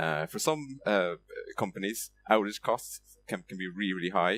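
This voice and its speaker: A man speaks at a moderate pace with an Irish accent and ordinary pitch variation. The sound is dry and close with no echo, and music plays in the background. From Ireland, Limerick. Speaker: software developer, conference speaker. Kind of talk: conference talk. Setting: stage with audience. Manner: hesitant, many fillers.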